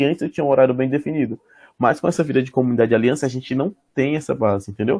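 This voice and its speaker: A man with a dark, mellow tone speaks at a medium pitch and a very fast pace, with ordinary pitch variation. The sound is dry and close with no echo, over a quiet background. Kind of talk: casual chat.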